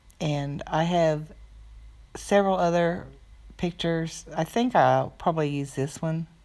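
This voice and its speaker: A woman with a very deep, low pitch talks at a fairly slow pace, her intonation fairly even and broken by long, frequent pauses. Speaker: art tutorial creator. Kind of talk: tutorial. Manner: halting, many fillers.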